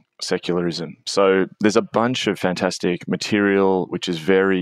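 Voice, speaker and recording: A man with an Australian accent and a very deep, low voice, fairly even in intonation, recorded very cleanly against a silent background with a dry, close sound and no echo. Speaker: author and pastor. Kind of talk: podcast interview.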